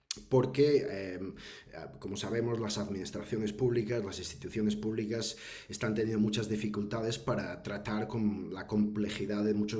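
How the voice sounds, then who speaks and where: A man at a fairly low pitch and moderate pace, with audible room echo. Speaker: professor. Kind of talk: webinar talk. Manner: hesitant, many fillers.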